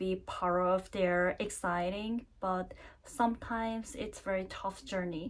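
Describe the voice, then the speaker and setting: A woman at a very slow pace with a medium pitch. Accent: Korean. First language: Korean. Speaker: vlogger, university career advisor. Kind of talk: casual vlog talk to camera. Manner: halting, many fillers.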